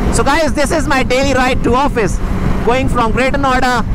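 A man speaks at a moderate pace over loud background noise, in a dry recording with no echo. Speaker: motovlogger. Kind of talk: casual vlog chat. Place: motorbike. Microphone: helmet.

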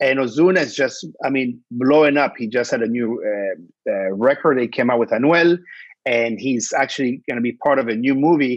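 A man with ordinary pitch variation, a dry sound with no echo, and a quiet background. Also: moderate pace. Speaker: podcast co-host. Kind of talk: casual chat. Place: home room. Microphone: earbuds.

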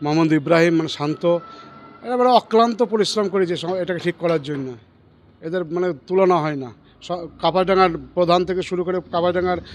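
This man has a high voice with ordinary pitch variation. Noticeable background noise is present. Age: 50s. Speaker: temple caretaker and village committee member. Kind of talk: news interview.

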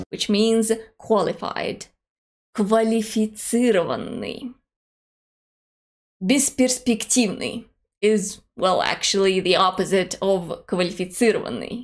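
The speech moves at a very slow pace with long, frequent pauses and very even loudness. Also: woman, fairly high pitch for a woman, fairly even intonation, quiet background. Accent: Russian. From Russia. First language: Russian. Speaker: language teacher. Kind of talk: language lesson to camera. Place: home room.

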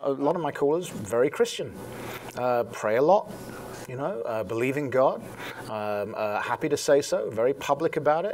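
A man with an English accent speaks at a moderate pace over light background noise. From England. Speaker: talk radio host. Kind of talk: interview answer. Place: studio. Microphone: lapel.

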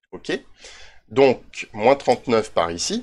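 A man at a medium pitch. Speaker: Minecraft YouTuber. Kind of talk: tutorial. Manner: hesitant, many fillers.

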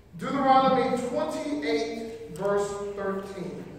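This man's voice sits high. His pitch varies in an ordinary way, and strong room echo surrounds it. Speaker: preacher. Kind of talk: sermon. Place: church. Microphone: camera far.

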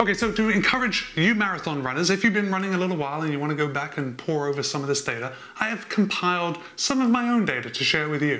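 The speaker is a man with lively intonation. He goes at a very fast pace. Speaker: running vlogger. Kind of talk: explanatory vlog talk. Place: home room. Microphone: lapel.

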